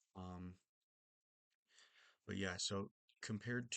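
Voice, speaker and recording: Soft-spoken with a bright, sharp tone, a man is recorded with a dry, close sound and no echo. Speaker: book reviewer. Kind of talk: casual book review monologue. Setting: at home late at night. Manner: soft-spoken, talking quietly; hesitant, many fillers.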